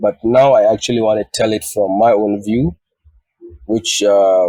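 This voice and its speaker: A dark, mellow tone at a moderate pace carries fairly even intonation, the sound dry and close with no echo. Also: man. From northern Nigeria, Jos. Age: 30s. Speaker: photographer. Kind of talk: interview.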